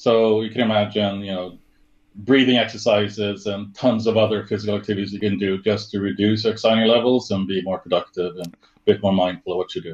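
Speaking with a Swedish accent, a man with a fairly low pitch moves at a fairly quick pace with fairly even intonation and big swings in loudness. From Sweden. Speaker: service design director; interview guest. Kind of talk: interview. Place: home room.

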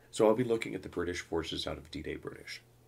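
A man at a very fast pace, with a dark, mellow tone, vocal fry and very wide pitch swings. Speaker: gaming podcast host. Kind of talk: solo podcast monologue. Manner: stutter; animated.

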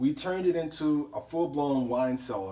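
Speaking at a moderate pace is a man. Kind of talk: casual tour commentary. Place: home room. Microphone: phone near.

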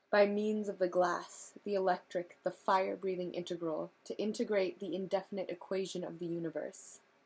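With an American accent, a woman speaks at a moderate pace in a flat monotone. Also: hardly any pauses. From California. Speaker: reader. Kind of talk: audiobook reading of a novel, read-along to camera. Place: home room. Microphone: webcam.

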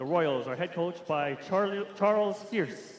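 A man speaks in a high voice with ordinary pitch variation. Light background noise and audible room echo fill the recording. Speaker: public address announcer. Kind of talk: starting lineup announcements. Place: hall. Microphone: pa.

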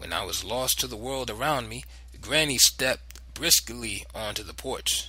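This is plain reading aloud. Nothing else is listed.

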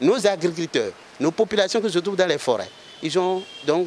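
Light background noise behind a man's voice. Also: dry sound with no echo. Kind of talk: interview answer. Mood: calm, informative. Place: garden. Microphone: handheld.

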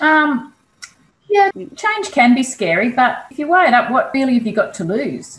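An Australian accent marks this woman's speech at a moderate pace. Her high voice moves through very wide pitch swings. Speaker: kinesiologist; interview guest. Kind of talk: casual interview. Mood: reflective, candid. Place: home room. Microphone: video call.

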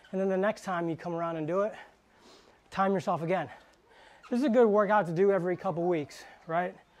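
A man's high-pitched voice with fairly even intonation. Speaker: fitness trainer. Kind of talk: tutorial. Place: gym.

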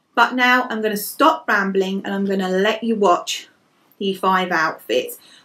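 A woman with an English accent and ordinary pitch variation. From England. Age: 30s. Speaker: lifestyle blogger. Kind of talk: fashion vlog.

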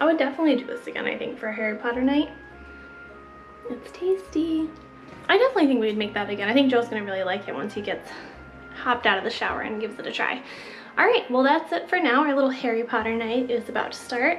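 Faint music sits behind a woman speaking at a high pitch and a very fast pace. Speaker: home vlogger. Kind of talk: casual vlog chat. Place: home room. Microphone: phone near.

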